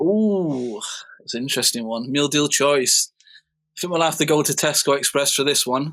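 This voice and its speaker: In a Mancunian accent, a man talks with a fairly high pitch and ordinary pitch variation. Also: moderate pace, very clean recording, silent background. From northern England, Manchester. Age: 30s. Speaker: DJ and music producer. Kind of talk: casual interview chat.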